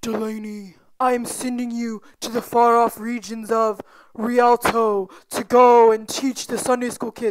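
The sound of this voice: A put-on character voice, female-sounding and fairly high in pitch, with monotone, flat intonation. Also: moderate pace.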